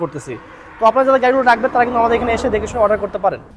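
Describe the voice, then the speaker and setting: A man's animated, high-pitched voice with ordinary pitch variation over noticeable background noise. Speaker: machinery seller and video host. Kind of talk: sales pitch.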